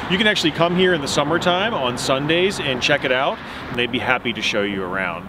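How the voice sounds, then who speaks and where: Noticeable background noise sits behind a man's voice, recorded with a dry sound and no echo. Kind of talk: educational nature walk talk. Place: open country.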